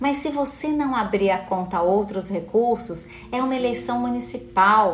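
A woman's medium-pitched, animated voice at a moderate pace, with very wide pitch swings, audible room echo and noticeable background noise. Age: 50s. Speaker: electoral court official and instructor. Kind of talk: live stream lecture. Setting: home office live stream.

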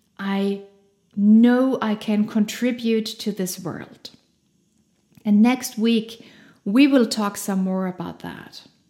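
A woman at a very slow pace, with a dark, mellow tone, fairly high pitch, big swings in loudness and long, frequent pauses. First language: German. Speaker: podcast host. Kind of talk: motivational monologue. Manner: animated.

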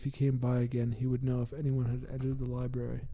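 A man speaks at a fairly quick pace in a dark, mellow, somewhat breathy voice of medium pitch, with monotone, flat intonation. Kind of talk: gothic horror narration, scripted story read aloud. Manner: formal and ornate, grave, brooding tone.

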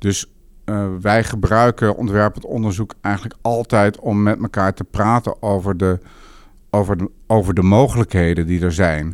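The recording is very clean, with a silent background. A man speaks at a moderate pace with fairly low pitch and fairly even intonation. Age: 50s. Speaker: urban planner. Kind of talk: interview. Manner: halting.

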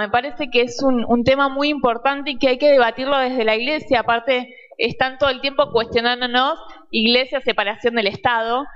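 Against noticeable background noise, a high-pitched woman talks at a fairly quick pace. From Argentina. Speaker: youth leader. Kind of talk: audience question.

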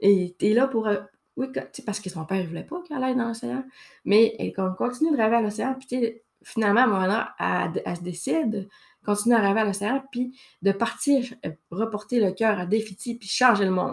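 A woman's fairly high voice in a Saguenay accent, at a moderate pace with ordinary pitch variation and long, frequent pauses. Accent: Quebec French (Saguenay). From Quebec, Saguenay. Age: 30s. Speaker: podcast host. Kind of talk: casual monologue. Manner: hesitant, many fillers. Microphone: new microphone, good sound.

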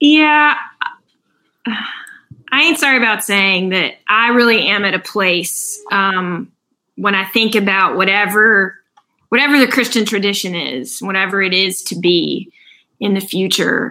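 Speaking with an American accent, a woman uses a plain, everyday voice at a medium pitch, with lively intonation and a fairly slow pace. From US South. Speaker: pastor. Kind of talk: casual interview chat.

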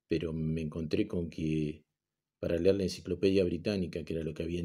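Speaking at a fairly quick pace, a man uses a very deep, low pitch, a dark, mellow tone and fairly even intonation. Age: 50s. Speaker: teacher. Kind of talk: recorded online class lecture. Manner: halting, many fillers and repetitions.

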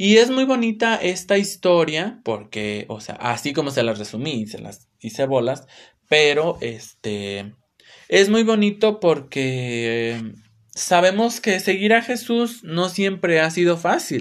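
A man with a Mexican accent talks very slowly in a high voice with very wide pitch swings. The recording is very clean, with a silent background. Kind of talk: religious talk, solo podcast. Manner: casual, filler-heavy.

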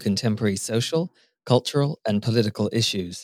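A man with a fairly low pitch, ordinary pitch variation, and a plain, everyday voice. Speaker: podcast announcer. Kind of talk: scripted intro.

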